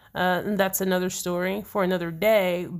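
A woman talks in an ordinary speaking voice at a medium pitch, with fairly even intonation. The recording is very clean, the background silent. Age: 30s. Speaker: podcast co-host, software developer and veteran. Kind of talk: casual chat.

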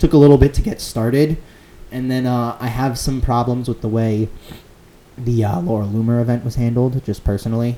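A man's plain, everyday voice, medium in pitch, fairly even in intonation, at a moderate pace. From Connecticut (Fairfield County). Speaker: student club president. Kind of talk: casual chat.

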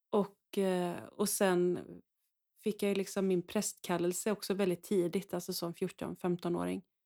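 A woman speaks at a fairly slow pace in a medium-pitched, dark, mellow voice with monotone, flat intonation, in a very clean recording with a silent background and a dry, close sound with no echo. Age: 40s. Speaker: priest. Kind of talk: casual chat.

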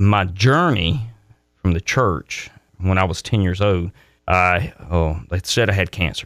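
A man with a Mississippi accent, very deep and low in pitch, at a very slow pace, in a very clean recording with a silent background. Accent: Southern US (Mississippi). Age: 50s. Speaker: political candidate, military retiree. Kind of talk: radio interview.

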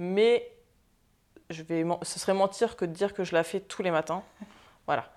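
Ordinary pitch variation at a fairly slow pace, with long, frequent pauses. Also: woman, medium pitch for a woman. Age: 20s. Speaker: entrepreneur and social media influencer. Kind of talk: interview. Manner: hesitant, many fillers.

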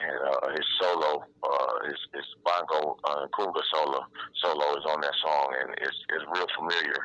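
Moderate pace from a male speaker over noticeable background noise. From Detroit, Michigan. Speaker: DJ and music producer. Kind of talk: interview. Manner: halting, many fillers.

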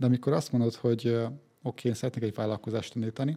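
Monotone, flat intonation and a dark, mellow tone carry speech with a Hungarian accent. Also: man. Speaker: podcast host. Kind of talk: interview.

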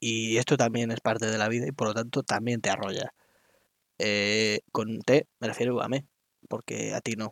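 A man speaks at a moderate pace and medium pitch in a flat monotone, recorded with a dry, close sound and no echo. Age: 20s. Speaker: podcaster. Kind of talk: solo monologue. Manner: halting.

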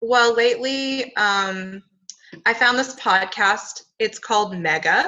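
The woman's pitch is fairly high. She talks at a very slow pace. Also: ordinary pitch variation, very even loudness. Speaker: podcast co-host. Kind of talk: podcast conversation with scripture reading.

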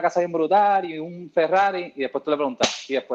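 A man at a very fast pace. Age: 30s. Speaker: CrossFit coach. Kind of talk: casual chat.

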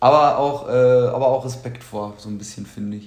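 A man at medium pitch with ordinary pitch variation and a moderate pace, audible room echo around him. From Germany, born to Polish family. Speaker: podcast co-host. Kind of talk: casual chat. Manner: animated.

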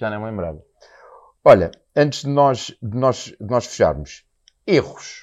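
A man with a European Portuguese accent and a medium pitch speaks at a fairly slow pace, with very wide pitch swings, big swings in loudness and long, frequent pauses. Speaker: podcast host. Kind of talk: casual interview chat. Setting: restaurant site under construction.

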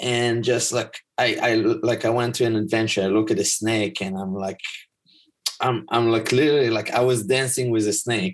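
In an Israeli accent, a man with a medium-pitched voice speaks at a moderate pace with fairly even intonation against a quiet background. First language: Hebrew. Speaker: life coach and teacher. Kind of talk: casual chat. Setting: video call.

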